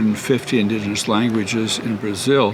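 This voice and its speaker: A man talks at a fairly quick pace in a medium pitch. Noticeable background noise sits behind him. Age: 70s. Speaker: linguist researcher. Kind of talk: interview. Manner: halting, many fillers.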